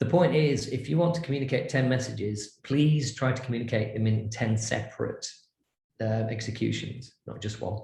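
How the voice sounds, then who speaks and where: The voice is somewhat breathy with a dark, mellow tone and ordinary pitch variation, and room echo can be heard. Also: man, medium pitch for a man, moderate pace. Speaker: branding and design consultant. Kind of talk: lecture. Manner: animated.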